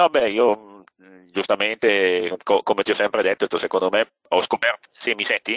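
Dry, close sound with no echo, as a man talks at a moderate pace. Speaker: surveyor, seminar co-host. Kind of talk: online seminar discussion. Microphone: connection dropped, not heard at first.

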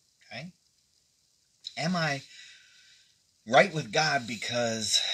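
A man's bright, sharp tone moves along at a moderate pace. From Pennsylvania, US. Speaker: pastor. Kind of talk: devotional livestream. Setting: live video stream. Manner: casual, folksy. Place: home room. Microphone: phone near.

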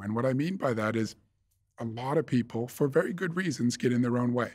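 A man with an American accent talks at a fairly quick pace in a medium pitch. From US Northeast, near Boston. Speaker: investment fund manager. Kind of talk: interview. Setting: studio. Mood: calm, reflective. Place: studio. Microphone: studio mic.

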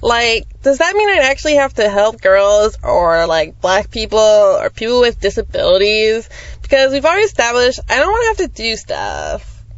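In a put-on character voice, the speaker sounds whiny, with a whiny tone. The pace is moderate, there are hardly any pauses, and light background noise sits behind it. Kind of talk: comic sketch acting. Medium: puppet show. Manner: valley-speak, whiny, lazy.

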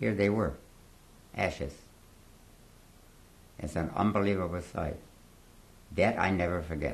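A man speaks with a very deep, low pitch. His pauses are long and frequent. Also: ordinary pitch variation, moderate pace. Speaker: Holocaust survivor giving testimony. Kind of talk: interview answer, oral history testimony. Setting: interview in a home or studio, recorded 2017.

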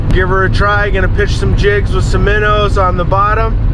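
Loud background noise accompanies a man speaking at a moderate pace. His voice sounds dry, with no echo. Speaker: fishing channel host. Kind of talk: casual vlog chat. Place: car. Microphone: phone near.

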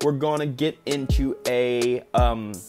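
There is clear music behind the speaker. The man's pitch rises and falls in an ordinary way. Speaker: martial arts youtuber. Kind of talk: casual vlog chat. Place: home room. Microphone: earbuds.

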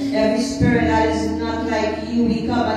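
A woman speaks against loud background noise. Room echo is audible in the recording. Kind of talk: public prayer. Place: church.

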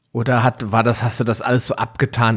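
A man's somewhat breathy voice at a medium pitch. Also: very clean recording, silent background. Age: 40s. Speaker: podcast host. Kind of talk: interview.

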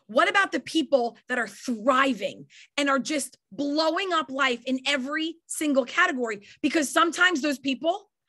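A woman's raised, projected voice with a New York accent, high in pitch, bright and sharp in tone, at a moderate pace with ordinary pitch variation, over a quiet background. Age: 40s. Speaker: network marketing leader and trainer. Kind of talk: motivational training talk. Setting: video call. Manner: animated. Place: home room.

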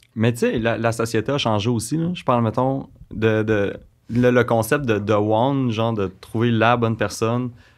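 Against a quiet background, a man with a Quebec accent speaks with fairly even intonation. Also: medium pitch for a man, moderate pace. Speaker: blind date guest; guest. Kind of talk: casual chat. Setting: studio. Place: studio. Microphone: studio mic.

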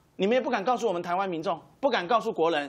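A man speaks in a high pitch, with very wide pitch swings. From Taiwan. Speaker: political commentator. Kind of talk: TV political talk show panel. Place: studio.

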